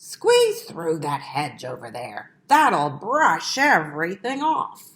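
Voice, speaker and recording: Using a put-on character voice, a woman speaks at medium pitch. Her pace is very slow. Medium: read story.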